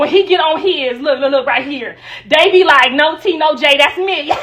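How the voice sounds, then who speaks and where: Animated and high-pitched, a woman talks at a moderate pace with ordinary pitch variation over noticeable background noise. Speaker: livestreamer. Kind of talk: livestream chat.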